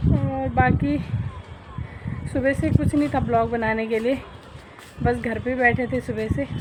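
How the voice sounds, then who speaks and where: Fairly slow speech with long, frequent pauses comes through audible room echo and noticeable background noise. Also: woman. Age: 20s. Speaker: vlogger. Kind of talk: casual vlog talk. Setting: outdoors on a walk.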